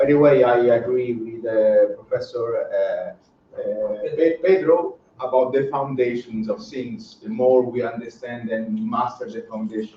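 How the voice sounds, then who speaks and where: Hardly pausing at all, a man keeps to a fairly slow pace. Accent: non-native. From Italy. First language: Italian. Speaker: professor. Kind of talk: keynote lecture. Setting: seminar room with audience, streamed online. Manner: hesitant, many fillers.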